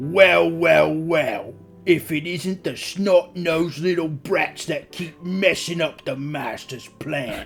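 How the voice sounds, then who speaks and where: A man's put-on character voice, high-pitched, at a fairly slow pace with hardly any pauses, faint music in the background. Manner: menacing, gloating.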